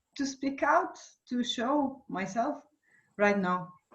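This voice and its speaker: The speaker is a woman with a non-native accent. She talks at a fairly slow pace. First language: not English. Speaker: voice and trauma coach. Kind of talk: casual chat. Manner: halting.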